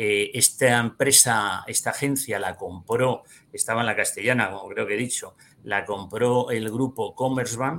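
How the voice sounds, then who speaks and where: A man speaks in a normal speaking voice at medium pitch. His pace is fairly slow and his intonation fairly even. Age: 50s. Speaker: financial advisor and trader. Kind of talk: interview.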